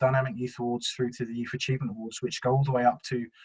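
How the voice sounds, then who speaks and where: Somewhat breathy, a man speaks at medium pitch. His intonation is monotone and flat. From South London, England. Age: 40s. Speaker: youth work trainer. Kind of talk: webinar presentation. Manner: hesitant, many fillers.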